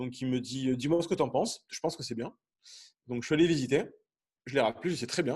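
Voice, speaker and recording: A man's somewhat breathy voice of medium pitch, fairly quick in pace, with ordinary pitch variation and long, frequent pauses. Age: 30s. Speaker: airline pilot and property investor. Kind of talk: podcast interview.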